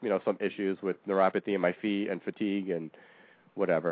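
A man talks at a fairly quick pace with a fairly low pitch. He has a plain, everyday voice. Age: 30s. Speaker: co-host, cancer survivor. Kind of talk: casual chat.

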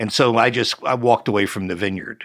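A man with an unremarkable speaking voice talks at a fairly quick pace. His pitch is fairly low and his intonation fairly even. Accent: American. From US Northeast (northwest New Jersey). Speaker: winemaker. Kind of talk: interview.

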